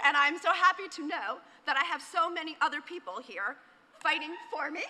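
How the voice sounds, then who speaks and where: A woman with an American accent speaks in a raised, projected voice at an extremely high pitch. Her intonation is lively and her pace fairly quick. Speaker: executive director of a creative agency, conference speaker. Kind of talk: conference talk. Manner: fast; animated.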